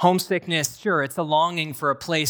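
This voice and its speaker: A man at a moderate pace with an American accent, an unremarkable speaking voice. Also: very clean recording, silent background. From US Northeast, rural New Hampshire. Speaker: pastor in training. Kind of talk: sermon. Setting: church.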